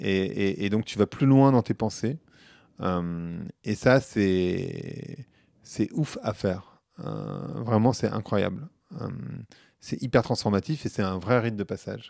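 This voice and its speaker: Speaking at a very slow pace, a man with a fairly low pitch and ordinary pitch variation is heard in a dry sound with no echo against a quiet background. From Paris suburbs, France; France. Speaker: marketing professional and podcaster; podcast guest. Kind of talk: casual interview. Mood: relaxed, engaged. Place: home room. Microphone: handheld.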